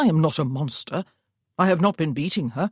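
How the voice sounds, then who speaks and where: A man does a put-on character voice, raspy and fairly high-pitched, at a fairly quick pace. The sound is dry and close with no echo, on a very clean recording with a silent background. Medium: read story. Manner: curt.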